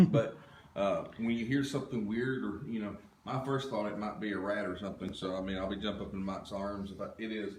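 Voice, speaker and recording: A man with a Southern US accent talks at a fairly quick pace in a fairly low pitch. Noticeable background noise and audible room echo are present. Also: ordinary pitch variation. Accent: Southern American. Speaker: paranormal investigation team leader. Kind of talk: livestream walkthrough commentary. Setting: livestream at an investigation site. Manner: loud.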